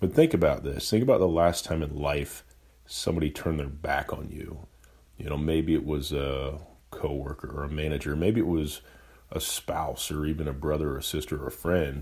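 The speaker uses vocal fry and fairly even intonation at a moderate pace. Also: man, very deep, low pitch for a man. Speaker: podcast host and entrepreneur. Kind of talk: solo unedited monologue. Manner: monotone.

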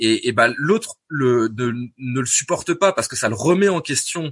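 In a dry, close recording with no echo and a quiet background, a man of medium pitch speaks at a moderate pace with very wide pitch swings. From Normandy, France. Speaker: podcast guest living with schizophrenia. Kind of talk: casual interview conversation. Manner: halting, many hesitations and repetitions.

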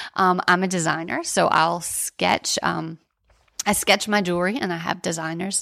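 Speaking at a moderate pace, a woman uses a fairly low pitch with vocal fry and monotone, flat intonation. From New Orleans, US. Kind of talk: casual interview.

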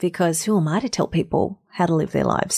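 A woman with an Australian accent, her voice fairly low in pitch, at a fairly quick pace. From Australia, North Queensland. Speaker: voice actor and speaker. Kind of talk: interview.

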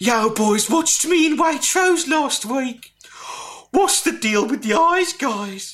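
Someone delivers a put-on character voice at a fairly slow pace. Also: man, extremely high pitch for a man. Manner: purring, smooth.

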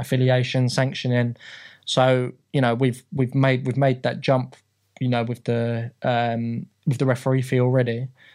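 A man with a London accent speaks at a medium pitch and a moderate pace, monotone and flat. The recording is very clean, with a silent background. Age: 30s. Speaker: football league secretary. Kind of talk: casual interview. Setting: studio. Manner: halting, many fillers and repeats.

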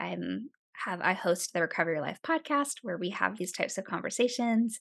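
This woman has an unremarkable speaking voice with an American accent and medium pitch. She talks at a moderate pace over a quiet background. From upstate New York, small town. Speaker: podcaster and emotional health speaker. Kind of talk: casual interview.

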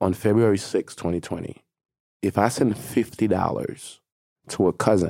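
A man with a non-native accent speaks at a moderate pace in a dark, mellow tone with ordinary pitch variation. The recording is very clean, with a silent background. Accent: foreign-accented English. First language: not English; French second, English third. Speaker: advertising agency executive. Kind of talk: interview.

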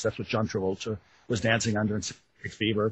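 A somewhat breathy man with an American accent, fairly low-pitched, at a fairly quick pace. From Wisconsin. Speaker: author. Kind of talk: interview.

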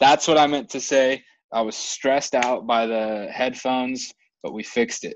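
Speaking at a moderate pace, a man uses an unremarkable speaking voice of medium pitch with ordinary pitch variation. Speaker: podcast host. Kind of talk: casual podcast chat.

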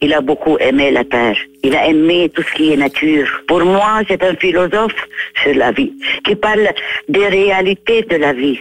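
A woman with an Arabic accent speaks at a fairly slow pace in a fairly low voice with lively intonation. Noticeable background noise runs under her speech. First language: Arabic (speaking French). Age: 80s+. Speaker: writer. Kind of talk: interview. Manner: halting.

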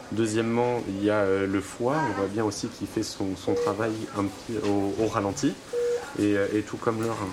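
Noticeable noise sits in the background. A man speaks fairly slowly at a fairly low pitch. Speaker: intensive care resident. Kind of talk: documentary interview.

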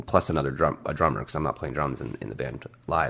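Vocal fry marks this man's voice. He races along at a very fast pace. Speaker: musician. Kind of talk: casual chat. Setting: home basement studio.

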